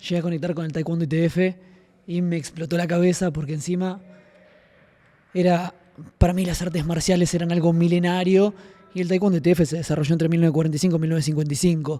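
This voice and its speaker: A man rushes at a very fast pace yet leaves long, frequent pauses, his high pitch held in monotone, flat intonation. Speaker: podcast host and martial arts student. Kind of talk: casual podcast chat. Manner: soft-spoken.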